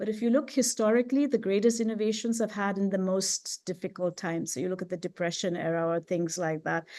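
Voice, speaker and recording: A dark, mellow female voice at a fairly quick pace, with ordinary pitch variation and a quiet background. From India. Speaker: professor. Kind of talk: conference talk. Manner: fast.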